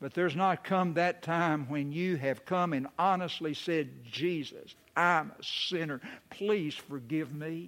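With a fairly high pitch and ordinary pitch variation, a man talks at a fairly slow pace. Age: 60s. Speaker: pastor. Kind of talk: sermon. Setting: church.

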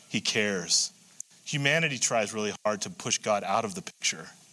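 This man speaks in a bright, sharp tone with lively intonation. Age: 60s. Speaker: pastor. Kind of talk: sermon. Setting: church. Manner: halting.

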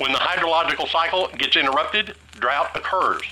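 Someone with a Southern US accent speaks at a fairly quick pace. Noticeable background noise runs underneath. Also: man. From Tennessee. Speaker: Bible teacher. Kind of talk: Bible study teaching.

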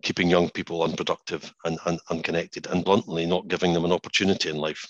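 A man's very deep, low voice with a Scottish accent at a very fast pace, in a dry, close sound with no echo. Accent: Scottish (Edinburgh area). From Scotland, Musselburgh near Edinburgh. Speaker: financial industry chief executive. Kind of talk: interview. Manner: hesitant, many fillers and repeats.

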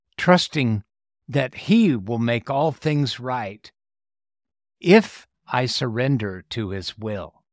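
Solemn in tone yet lively in intonation, a man of medium pitch speaks very slowly with long, frequent pauses. The sound is dry and close with no echo. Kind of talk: prayer reading. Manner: solemn, reverent; slow, earnest.

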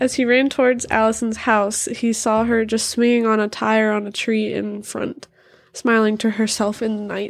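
A woman with a fairly high pitch speaks at a moderate pace in an animated, dramatic tone. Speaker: podcast co-host. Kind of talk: ghost story telling, dramatic reading of a horror tale. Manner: animated, giggly, dramatic storyteller.

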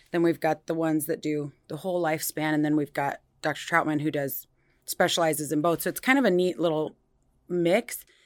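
A woman with an American accent speaks at a very deep, low pitch and a fairly quick pace. Her pitch varies in an ordinary way. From Iowa, US Midwest. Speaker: nurse practitioner. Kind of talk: interview.

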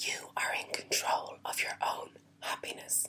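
A whispered voice moves at a fairly slow pace while noticeable background noise carries on. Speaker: motivational vlogger. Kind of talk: motivational talk. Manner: whispering.

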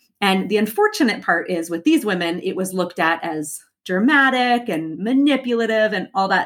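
This woman has an ordinary speaking voice. She talks at a moderate pace with lively intonation. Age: 30s. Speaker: podcast host and life coach. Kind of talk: solo podcast monologue.

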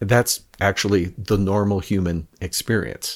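This man has an ordinary speaking voice, pitched fairly low. His intonation is fairly even. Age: 60s. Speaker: podcast guest, podcast host. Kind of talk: casual chat.

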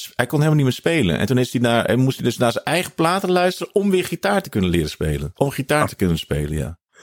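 A man's medium-pitched voice at a very fast pace, with very wide pitch swings, hardly any pauses, and a dry, close sound with no echo. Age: 50s. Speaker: jazz drummer and podcast host. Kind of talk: casual interview. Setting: video call.

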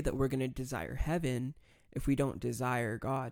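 This man speaks at a moderate pace with a medium pitch. The recording is very clean, with a silent background. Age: 20s. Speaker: podcast host. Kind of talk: casual chat. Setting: studio. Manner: animated.

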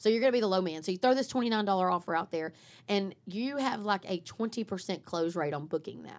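On a very clean recording with a silent background, a woman talks very fast in an animated tone at medium pitch, with ordinary pitch variation. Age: 40s. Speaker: marketing podcast co-host. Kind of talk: casual chat.

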